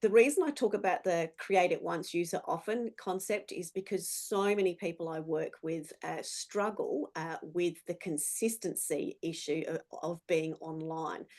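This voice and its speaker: A woman with an Australian accent at a medium pitch, speaking at a fairly slow pace with hardly any pauses. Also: ordinary pitch variation. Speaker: business speaker. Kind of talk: presentation.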